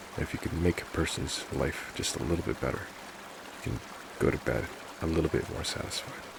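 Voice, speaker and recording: Amid noticeable background noise, a man with a very deep, low pitch speaks at a moderate pace. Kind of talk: reflective heart-to-heart talk about mental health and life. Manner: gentle, sincere, reassuring.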